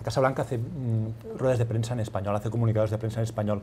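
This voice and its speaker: A somewhat breathy, dark, mellow voice with fairly even intonation. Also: man. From Catalonia, Spain. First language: Catalan (speaking Spanish). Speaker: newspaper correspondent. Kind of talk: panel discussion.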